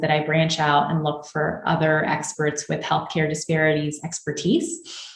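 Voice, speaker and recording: This woman's voice sits very deep and low. An echo from the room can be heard. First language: Spanish. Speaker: physician and clinical researcher. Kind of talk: interview.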